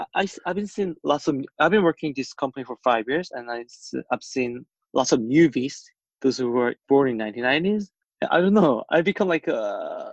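The intonation is lively, in a Korean accent. The sound is dry and close, with no echo. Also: man, fairly high pitch for a man, moderate pace. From South Korea. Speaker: podcast co-host. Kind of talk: casual chat.

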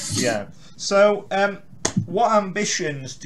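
A man talks at a very slow pace against noticeable background noise. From Carlisle, northern England. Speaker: interviewer, blogger and podcast host. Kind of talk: casual interview.

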